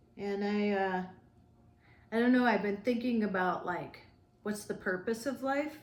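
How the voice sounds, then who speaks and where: Amid audible room echo, a woman talks at a fairly slow pace in a fairly high pitch, with ordinary pitch variation and long, frequent pauses. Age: 50s. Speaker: travel vlogger. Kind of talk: casual chat.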